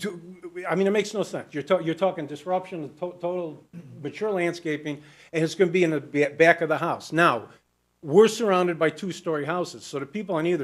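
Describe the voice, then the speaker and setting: A man talks in a high voice at a fairly quick pace. The background is quiet. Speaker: small business owner speaking at public hearing. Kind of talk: public comment at meeting. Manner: fast.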